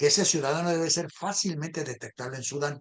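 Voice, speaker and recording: Moving at a fairly quick pace, the man varies his pitch in an ordinary way. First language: a minority language, not Spanish (speaking Spanish). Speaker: political talk show host. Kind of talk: casual political discussion.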